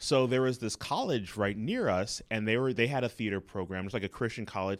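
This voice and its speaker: Recorded very cleanly against a silent background, a man with an American accent and a fairly low pitch speaks in a plain, everyday voice. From Los Angeles (Inglewood). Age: 40s. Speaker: comedy producer and improviser. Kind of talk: interview.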